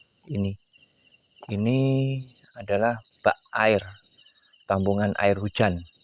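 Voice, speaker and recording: Pausing long and often, a man speaks fairly slowly at a fairly low pitch with fairly even intonation. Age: 60s. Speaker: oil palm farmer and vlogger. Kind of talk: video vlog, casual talk to viewers. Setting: outdoors at night in a forest clearing. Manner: halting, many fillers.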